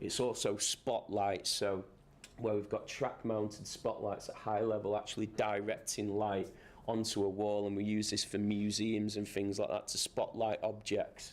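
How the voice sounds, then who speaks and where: With a fairly low pitch, a man speaks in a monotone, flat intonation at very even loudness. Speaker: lighting designer. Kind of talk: lecture. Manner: fast.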